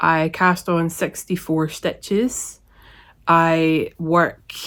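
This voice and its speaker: In a very clean recording with a silent background, a woman with a Scottish accent speaks at a fairly low pitch. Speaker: knitting podcaster. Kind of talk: casual talk to camera.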